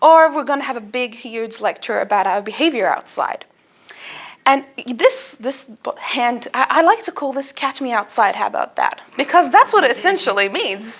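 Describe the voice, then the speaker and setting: The speaker has an Arabic accent and very wide pitch swings. The pace is moderate. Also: woman, high pitch for a woman. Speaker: student speaker. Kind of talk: speech. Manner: animated.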